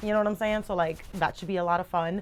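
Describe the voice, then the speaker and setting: An animated tone at a very fast pace. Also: woman. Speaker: booktuber. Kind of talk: casual chat. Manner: loud. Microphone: phone on other side of bed.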